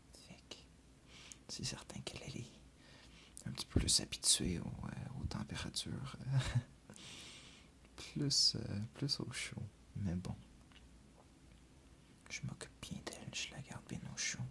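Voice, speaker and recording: A man whispers at a very slow pace. Long, frequent pauses break up his words. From Quebec, Canada. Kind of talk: ASMR video. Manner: whispered, soft-spoken.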